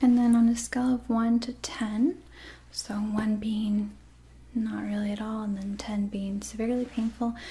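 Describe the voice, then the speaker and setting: A soft-spoken woman talks at a moderate pace with a gentle tone. Light background noise sits behind her. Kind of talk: role-play medical exam, soft-spoken. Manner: soft-spoken, gentle and quiet. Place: home room.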